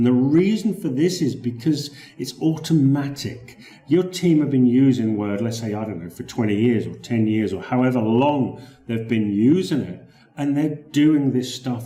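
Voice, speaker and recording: A man with a British accent, dark and mellow in tone, medium in pitch, lively in intonation, at a moderate pace amid audible room echo. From Britain. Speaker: Microsoft Word consultant. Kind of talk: sales pitch. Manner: conversational, with repetitions.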